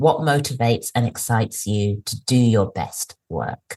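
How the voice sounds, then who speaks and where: A woman with an English accent talks at a fairly slow pace, her somewhat breathy voice captured dry and close with no echo. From England. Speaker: career coach. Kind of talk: podcast interview answer.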